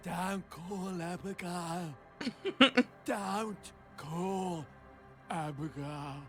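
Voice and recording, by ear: A put-on character voice at a middle pitch speaks at a very slow pace with long, frequent pauses, while clear music plays in the background.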